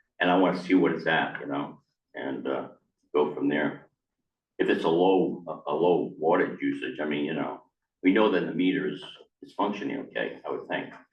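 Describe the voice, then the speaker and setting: At a moderate pace with long, frequent pauses, a man speaks in a very deep, low voice amid audible room echo. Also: ordinary pitch variation. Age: 70s. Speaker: resident addressing town board. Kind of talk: public meeting discussion. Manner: casual, halting.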